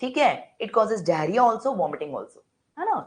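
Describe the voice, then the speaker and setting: A woman speaks at a very fast pace in a fairly high voice with vocal fry and very wide pitch swings. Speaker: medical lecturer. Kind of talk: online lecture.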